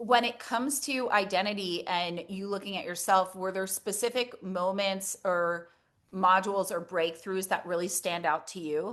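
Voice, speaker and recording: A woman speaks at a moderate pace with a medium pitch and ordinary pitch variation, in a normal speaking voice. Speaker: intuitive coach and energy worker. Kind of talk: interview host questions.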